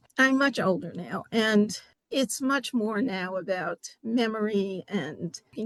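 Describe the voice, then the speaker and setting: Speaking at a fairly slow pace with a New York accent, a woman of medium pitch shows ordinary pitch variation against a quiet background. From New York City (Bronx). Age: 70s. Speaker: poet. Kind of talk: interview.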